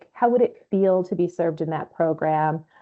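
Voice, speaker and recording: At a moderate pace, a woman with lively intonation talks in an unremarkable speaking voice. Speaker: webinar trainer. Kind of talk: online training webinar.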